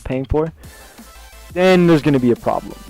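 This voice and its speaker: A man with fairly even intonation and music in the background. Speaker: gaming vlogger. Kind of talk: casual talk to camera. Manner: stutters, many filler words.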